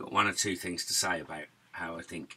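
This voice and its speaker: Speaking with a Norwich accent, a man talks at a moderate pace in a bright, sharp tone. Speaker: musician and YouTuber. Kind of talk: casual chat.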